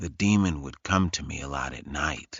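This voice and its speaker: Quiet and growling, a man puts on a character voice with a very deep, low pitch at a moderate pace. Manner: hushed, quiet.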